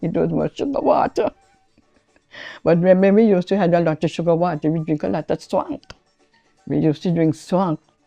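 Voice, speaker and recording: With music in the background, a woman speaks at a fairly quick pace in a fairly low voice, recorded with a dry, close sound and no echo. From St Kitts, Basseterre area. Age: 70s. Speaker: storyteller. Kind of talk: interview storytelling. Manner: halting.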